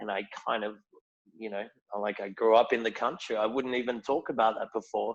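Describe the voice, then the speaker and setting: This man has a strong Australian accent. His pitch sits in the medium range. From rural Australia. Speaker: whisky ambassador. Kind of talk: casual chat.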